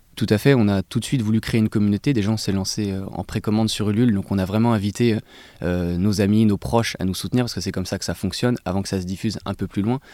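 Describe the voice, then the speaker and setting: Speaking at a very fast pace, a man with a dark, mellow tone keeps his intonation fairly even. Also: dry, close sound with no echo. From Paris suburbs, France. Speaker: sneaker brand co-founder. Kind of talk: interview. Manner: halting.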